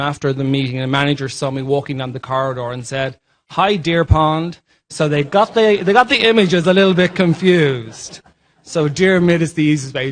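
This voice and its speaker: The pace of this man's speech is moderate. Ordinary variation runs through his pitch. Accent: Irish. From Ireland. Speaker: healthcare leadership formation director. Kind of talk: panel presentation.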